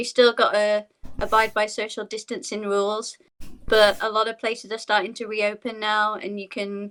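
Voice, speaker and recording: In a British accent, a woman talks with a bright, sharp tone at a fairly high pitch. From Yorkshire, northern England. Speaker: dancer. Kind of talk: casual chat.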